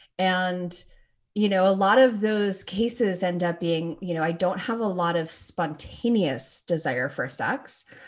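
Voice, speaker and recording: A woman with a plain, everyday voice speaks at a fairly slow pace and medium pitch, with ordinary pitch variation, over a quiet background. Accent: Canadian. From Toronto, Canada. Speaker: clinical psychologist and sex therapist. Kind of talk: interview.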